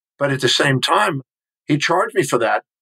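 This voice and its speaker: A man is speaking at a fairly quick pace. He has an American accent. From Texas, Houston. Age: 60s. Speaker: human behavior specialist and author. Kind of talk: interview.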